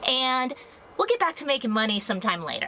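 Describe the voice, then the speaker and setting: Her high pitch and lively intonation mark this woman's speech, with noticeable background noise behind it. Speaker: travel vlogger. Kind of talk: travel vlog narration.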